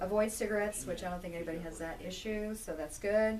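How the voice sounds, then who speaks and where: A woman's fairly even intonation, with audible room echo and noticeable background noise. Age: 50s. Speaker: health class instructor. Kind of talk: class lecture with discussion. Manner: conversational.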